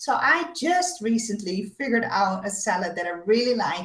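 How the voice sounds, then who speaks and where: A woman speaks at a fairly slow pace, somewhat breathy, with very wide pitch swings. Audible echo fills the room. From Netherlands, Amsterdam. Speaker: web show host with chronic illness. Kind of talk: casual chat.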